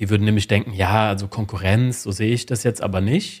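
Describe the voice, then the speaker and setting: In a very clean recording with a silent background, a man with a fairly low, somewhat breathy voice speaks at a moderate pace with ordinary pitch variation. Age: 30s. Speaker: sales psychology lecturer and consultant. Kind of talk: interview.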